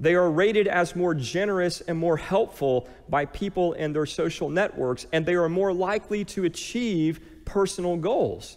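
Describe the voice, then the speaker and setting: Against a quiet background, a man with a high pitch and a warm tone speaks at a moderate pace. His loudness stays very even, and his pitch varies in an ordinary way. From US. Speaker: pastor. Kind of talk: sermon. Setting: church. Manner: calm, gentle, guiding, meditative pace during the prayer exercise; warm, earnest, conversational preacher. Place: church. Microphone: headset.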